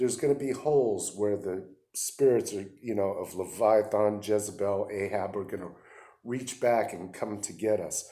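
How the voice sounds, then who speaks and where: Dark, mellow male voice, fairly low in pitch, with fairly even intonation at a moderate pace. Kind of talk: religious teaching monologue. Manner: halting, with fillers.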